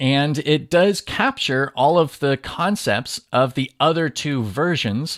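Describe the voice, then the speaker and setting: Lively in intonation and fairly slow, the voice sounds dry and close with no echo on a very clean recording with a silent background. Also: man. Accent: American. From Southern California. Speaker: podcast host, lean manufacturing educator. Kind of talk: solo podcast monologue.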